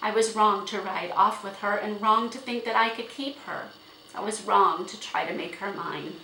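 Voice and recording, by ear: The speaker is reading aloud in a natural voice. Pitch movement stays fairly even.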